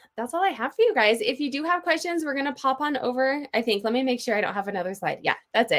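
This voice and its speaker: Raising and projecting her voice, a woman speaks at a high pitch with a bright, sharp tone and very wide pitch swings. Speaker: online seller and presenter. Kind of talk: webinar presentation. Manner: fast.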